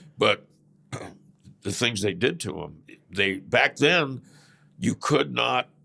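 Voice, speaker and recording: This man speaks very slowly in a fairly low pitch, his voice swinging very widely up and down. The tone is bright and sharp, with vocal fry. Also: long, frequent pauses. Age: 70s. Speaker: former biker gang leader. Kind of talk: interview. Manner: halting.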